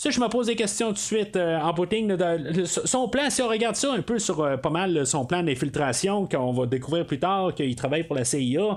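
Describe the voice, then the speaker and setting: A man with a Quebec accent, high-pitched, with very wide pitch swings, very even loudness, a fairly quick pace, hardly any pauses and noticeable background noise. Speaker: podcast host. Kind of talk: solo film review podcast. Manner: halting, many fillers.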